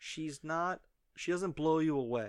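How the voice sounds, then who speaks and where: A man speaks with an ordinary speaking voice, fairly high in pitch, with ordinary pitch variation. The recording is very clean, with a silent background. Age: 30s. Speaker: wrestling podcast co-host. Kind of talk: casual chat.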